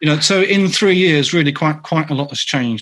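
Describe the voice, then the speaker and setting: A man speaks with a North London accent. His pace is moderate. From North London, England. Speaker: author and agile consultant. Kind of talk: Q&A answer in online meetup talk. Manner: many fillers and repetitions.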